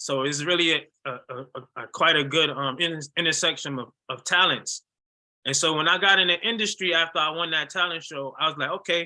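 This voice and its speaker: Fairly high in pitch with a bright, sharp tone, a man with an American accent speaks at a moderate pace. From US Northeast, Hartford, Connecticut. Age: 40s. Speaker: musician and NFT artist. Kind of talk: interview. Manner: casual, animated.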